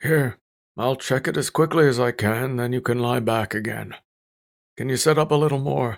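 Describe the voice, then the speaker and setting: A man uses a quiet, raspy, put-on character voice at a medium pitch. He keeps a moderate pace and fairly even intonation. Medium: read story. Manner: quiet, calm, clinical.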